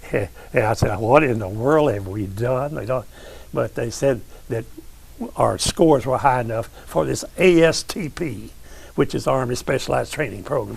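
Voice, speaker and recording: Speaking at a moderate pace, a man with a medium pitch and vocal fry uses lively intonation. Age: 90s. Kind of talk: interview storytelling. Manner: halting.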